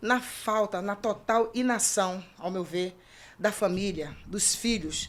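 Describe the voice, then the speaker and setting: A woman's medium-pitched voice at a very slow pace. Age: 70s. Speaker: event organizer on elderly rights commission. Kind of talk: talk show discussion.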